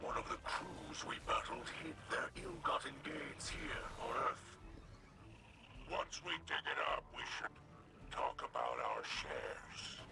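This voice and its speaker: At a fairly slow pace, a man performs a put-on character voice over clear background noise. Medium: game stream. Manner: solemn.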